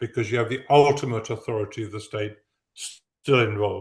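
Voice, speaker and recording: A man with an English accent at a moderate pace, using ordinary pitch variation over a quiet background. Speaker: professor. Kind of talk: academic Q&A response. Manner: halting.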